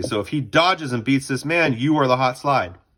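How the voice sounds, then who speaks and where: A man speaks at a fairly quick pace, his fairly high voice rising and falling in a lively way. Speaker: lacrosse coach. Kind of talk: tutorial. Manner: fast.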